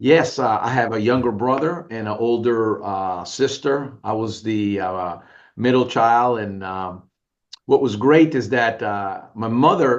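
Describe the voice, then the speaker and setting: A man speaks with an American accent at a medium pitch. He has a normal speaking voice and a fairly slow pace. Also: ordinary pitch variation. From New Orleans, US South. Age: 60s. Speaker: business owner and media executive. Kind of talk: interview.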